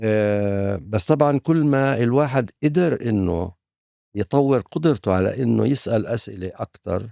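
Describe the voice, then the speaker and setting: A dark, mellow tone at a very slow pace, with lively intonation. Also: man, medium pitch for a man, dry, close sound with no echo. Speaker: philosophy professor. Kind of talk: interview answer. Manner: hesitant, reflective.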